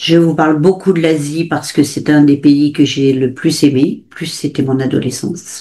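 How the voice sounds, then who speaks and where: A woman's very deep, low voice, dark and mellow in tone, at a fairly slow pace. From grew up abroad in Africa and Asia, French family. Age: 70s. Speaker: author. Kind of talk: interview. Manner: halting, many fillers.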